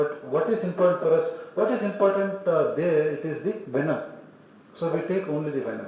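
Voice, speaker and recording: A man talks with a high pitch and ordinary pitch variation. Audible room echo and noticeable background noise surround him. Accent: Indian. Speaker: homeopathy lecturer. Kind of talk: lecture. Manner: slow.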